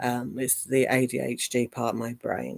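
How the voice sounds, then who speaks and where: In an English accent, a woman talks at a fairly slow pace with a very deep, low pitch, the sound dry and close with no echo. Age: 50s. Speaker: live streamer. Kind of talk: casual chat. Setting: livestream.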